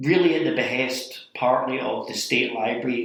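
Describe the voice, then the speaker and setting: A man with a Scottish accent speaks amid audible room echo. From Scotland. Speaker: library director turned city manager. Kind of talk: interview conversation.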